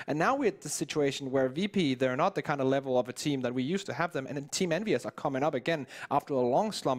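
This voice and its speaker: Talking at a very fast pace, a man with a non-native accent has a fairly high pitch. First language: not English. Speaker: esports caster. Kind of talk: casual analysis chat.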